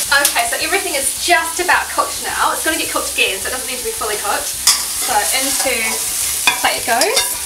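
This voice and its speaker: Very fast speech over loud background noise. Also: woman. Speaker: cooking show host. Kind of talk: tutorial. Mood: cheerful, upbeat. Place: kitchen.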